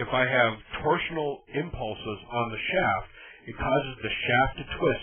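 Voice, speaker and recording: With an ordinary speaking voice, a man talks at a fairly slow pace, with medium pitch and ordinary pitch variation. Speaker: electrical reliability trainer. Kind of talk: technical training presentation. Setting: online presentation audio, slightly tinny.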